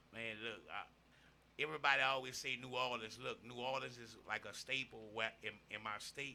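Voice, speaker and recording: A man with a Louisiana accent, vocal fry, a bright, sharp tone and a moderate pace. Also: medium pitch for a man, ordinary pitch variation. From Louisiana, Opelousas (Cajun Creole area). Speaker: rapper and host. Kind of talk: casual podcast interview.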